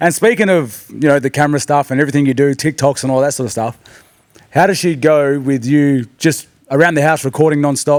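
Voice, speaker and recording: With an Australian accent, a man talks at a fairly quick pace, his voice fairly high in pitch and his intonation rising and falling by an ordinary amount. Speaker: podcast co-host. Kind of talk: casual chat. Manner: fast.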